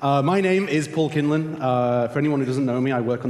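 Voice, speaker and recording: A man with a British accent talks at a fairly quick pace with ordinary pitch variation, amid audible room echo and noticeable background noise. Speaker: conference host. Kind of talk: conference announcements. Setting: stage with audience. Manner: fast.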